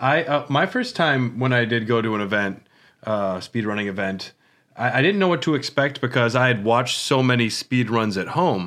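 This is a man with an ordinary speaking voice at a medium pitch. He moves at a moderate pace with lively intonation. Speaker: podcast host. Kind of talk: casual chat. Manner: joking, laughs often.

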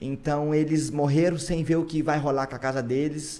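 The pace is fairly quick, and the intonation stays fairly even. It is an ordinary speaking voice. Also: man. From Brazil, São Luís do Paraitinga (São Paulo interior). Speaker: podcast host, musician. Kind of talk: casual chat.

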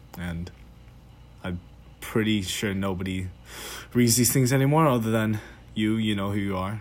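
A man at a moderate pace, fairly low in pitch. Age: young. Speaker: student podcaster. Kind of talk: solo voice memo monologue. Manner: hesitant, halting; shaky voice.

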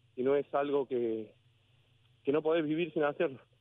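With ordinary pitch variation, a man's voice sits fairly high in pitch. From Córdoba, Argentina. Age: 40s. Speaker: former lower-league footballer and railway worker. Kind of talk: interview. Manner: animated.

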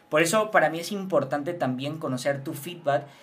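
There is noticeable background noise as a man with a high-pitched voice speaks at a moderate pace with ordinary pitch variation. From Venezuela. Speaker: podcast host. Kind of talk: interview.

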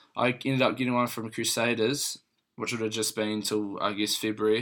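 With monotone, flat intonation, a man talks at a fairly quick pace in a fairly low pitch. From New Zealand, Christchurch. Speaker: professional rugby player. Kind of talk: casual interview chat.

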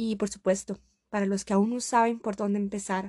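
A woman with a medium pitch and a dark, mellow tone speaks in a monotone, flat way at a fairly slow pace, with a dry, close sound and no echo. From Costa Rica. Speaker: podcast host. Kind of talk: motivational monologue.

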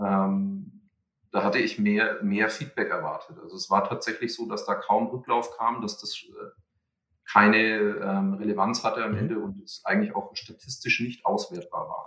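Fairly slow delivery with big swings in loudness. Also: man. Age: 30s. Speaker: entrepreneur and researcher. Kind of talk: podcast interview. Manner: halting, many fillers.

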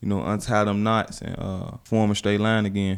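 With an American accent, a man talks at a fairly quick pace in a fairly low pitch and a monotone, flat intonation. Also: very clean recording, silent background. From Chicago, Back of the Yards. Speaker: youth podcast co-host. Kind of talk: casual chat.

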